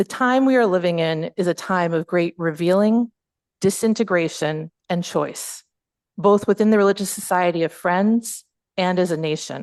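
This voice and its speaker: Ordinary pitch variation from a woman, with a dry, close sound, no echo, and a quiet background. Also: medium pitch for a woman. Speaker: Quaker speaker and former teacher. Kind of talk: plenary talk. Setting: hall with audience, also streamed on video call. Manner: fast.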